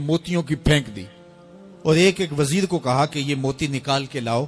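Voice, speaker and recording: A man talks with lively intonation while music plays behind him. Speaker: Islamic scholar giving a religious sermon. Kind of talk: Islamic sermon (bayan) delivered to an audience. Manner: emotional, passionate, rhetorical.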